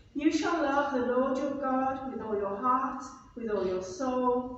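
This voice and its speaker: A woman speaks at a very slow pace in a high voice. Strong room echo surrounds her, with light background noise. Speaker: minister leading the service. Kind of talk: liturgical reading. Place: church. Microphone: camera far.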